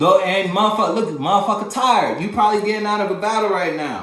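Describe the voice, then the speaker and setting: Over noticeable background noise and audible room echo, a man with a high pitch speaks in an animated tone at a very fast pace. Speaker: tarot reader. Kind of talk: tarot reading.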